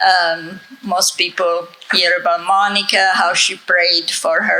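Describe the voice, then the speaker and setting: Speaking at a very slow pace, a woman with a fairly low voice is heard through noticeable background noise and audible room echo. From Italy. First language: Italian. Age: 70s. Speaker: author and conference speaker. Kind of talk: conference talk.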